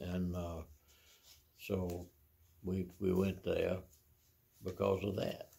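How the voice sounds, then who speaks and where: A man with an American accent speaks at a very slow pace, leaving long, frequent pauses. His very deep, low voice has a dark, mellow tone, somewhat breathy and in a monotone, flat intonation. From US South, Mississippi. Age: 80s+. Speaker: retiree recounting his life. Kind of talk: life story interview. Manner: halting, many fillers and repeats. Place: home room.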